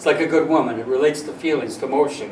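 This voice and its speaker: Noticeable background noise under a man's fairly high-pitched voice. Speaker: astrologer, author and radio host. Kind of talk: casual explanatory talk to camera, teaching.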